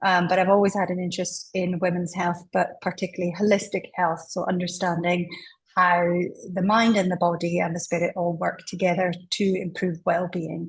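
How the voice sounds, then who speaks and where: In a Scottish accent, a woman with a fairly low, somewhat breathy voice speaks at a moderate pace in a flat, monotone way. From Scotland. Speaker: doctor, menopause specialist. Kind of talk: interview.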